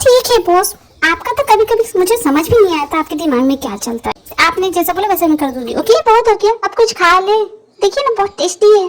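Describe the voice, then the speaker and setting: Using a put-on character voice, a woman speaks at an extremely high pitch and a fairly quick pace. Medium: audio drama. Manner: chatty, playful.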